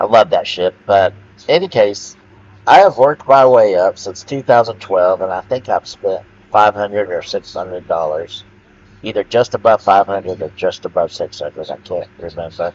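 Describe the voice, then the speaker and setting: A man speaks loudly at a moderate pace. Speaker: gaming video creator. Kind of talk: rant monologue. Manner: halting, many fillers.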